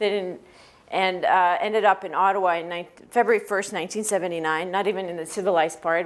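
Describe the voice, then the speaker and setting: Against noticeable background noise, a woman of medium pitch speaks with fairly even intonation. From France and Switzerland, French-educated. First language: Greek, then French. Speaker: executive recruiter. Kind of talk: talk to students. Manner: halting, many fillers.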